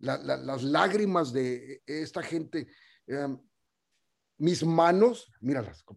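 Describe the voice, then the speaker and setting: Speaking very slowly with long, frequent pauses, a man uses lively intonation at a fairly high pitch. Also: big swings in loudness. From US-Mexico border, El Paso / Ciudad Juárez. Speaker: radio programmer and community activist. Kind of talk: casual interview.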